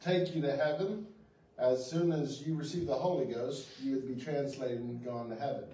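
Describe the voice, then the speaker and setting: A man speaks with lively intonation. There is audible echo from the room. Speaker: pastor. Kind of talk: sermon. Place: church.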